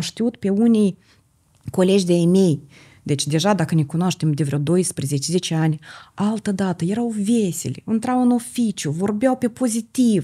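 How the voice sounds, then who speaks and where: A woman's medium-pitched, somewhat breathy voice with a dark, mellow tone, very even loudness and a moderate pace over a quiet background. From Moldova. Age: 50s. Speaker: holistic therapist and entrepreneur; podcast guest. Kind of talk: podcast interview. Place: studio. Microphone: studio mic.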